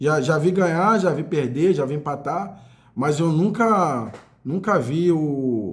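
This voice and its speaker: The delivery has an animated tone and lively intonation, with audible echo from the room. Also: man. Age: 40s. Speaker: football fan commentator. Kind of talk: casual monologue.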